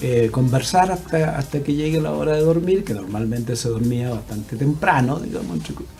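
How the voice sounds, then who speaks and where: Lively intonation at a fairly quick pace with hardly any pauses, over background music and audible room echo. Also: man, medium pitch for a man. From southern Chile (Chiloé). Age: 60s. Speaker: writer. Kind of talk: interview.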